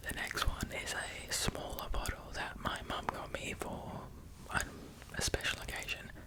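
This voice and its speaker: A man whispers at a fairly slow pace, with long, frequent pauses. Noticeable background noise runs underneath. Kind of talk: ASMR soft-spoken talk. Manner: soft-spoken, calm, slow.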